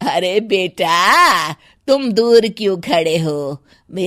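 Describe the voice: The clip is a plain read-aloud.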